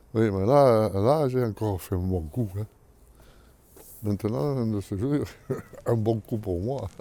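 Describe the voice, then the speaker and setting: A man talks at a very slow pace with long, frequent pauses. His tone is dark and mellow. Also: fairly low pitch for a man, ordinary pitch variation. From Menton, southern France. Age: 80s+. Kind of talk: interview answer. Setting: outdoors. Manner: casual, colourful.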